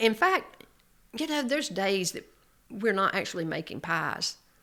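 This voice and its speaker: A woman talks with a North Carolina accent at a fairly slow pace. Her tone is bright and sharp, with lively intonation. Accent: Southern US (North Carolina). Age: 70s. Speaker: small business owner. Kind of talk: casual chat.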